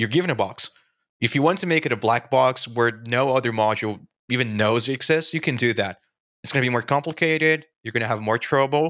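Speaking at a very fast pace with a Portuguese accent, a man at medium pitch has a bright, sharp tone and ordinary pitch variation on a very clean recording with a silent background. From Brazil. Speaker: software developer and screencast creator.

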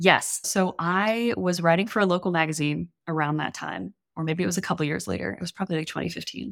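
A woman with an American accent, fairly low in pitch and with vocal fry, talking at a very fast pace with hardly any pauses and ordinary pitch variation. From US South, New Orleans. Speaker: copywriter and comedian. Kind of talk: casual chat.

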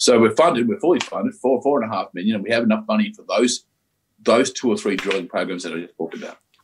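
With big swings in loudness, a man speaks at a very fast pace in an Australian accent. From Australia, Victoria (Ballarat). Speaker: mining company CEO, geologist. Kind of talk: interview.

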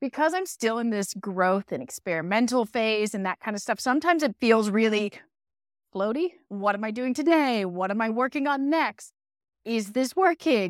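A woman with an American accent and an unremarkable speaking voice talks at a moderate pace, fairly high in pitch, with lively intonation. The very clean recording has a silent background and a dry, close sound with no echo. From US Northeast, northwest Pennsylvania. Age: 40s. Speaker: podcast host and resiliency coach. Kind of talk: interview as guest on own show.

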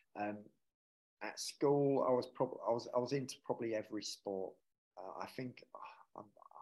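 Delivery comes at a moderate pace. Intonation stays fairly even. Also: man.

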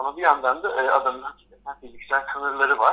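A man talks against noticeable background noise. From Istanbul, Turkey. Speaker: art history lecturer. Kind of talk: radio interview. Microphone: telephone line.

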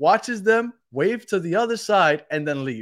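In a very clean recording with a silent background, a man speaks at a moderate pace with a high pitch and lively intonation. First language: Spanish. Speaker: podcast host. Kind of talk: casual chat. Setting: live stream.

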